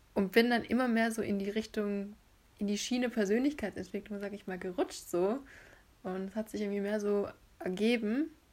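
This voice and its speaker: A woman with an ordinary speaking voice talks at a moderate pace, medium in pitch, with ordinary pitch variation. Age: 20s. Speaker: podcast co-host, former law student. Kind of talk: casual chat.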